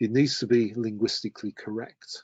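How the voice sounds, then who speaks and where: The pace of this man is moderate. He has a British accent. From UK. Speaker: terminology standards presenter. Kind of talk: webinar presentation.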